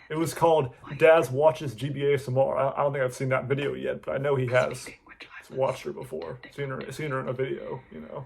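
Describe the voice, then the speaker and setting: Noticeable noise sits in the background. The speech moves at a fairly quick pace with big swings in loudness. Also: man. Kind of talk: reaction video commentary, casual talk to camera. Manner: casual, chatty, rambling.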